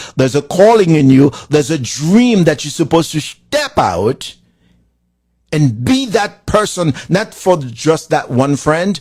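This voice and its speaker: A man with a Haitian accent speaks in a passionate, animated tone at a fairly slow pace. His pitch is fairly high and swings very widely. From Haiti, rural village. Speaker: motivational speaking coach. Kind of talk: motivational talk.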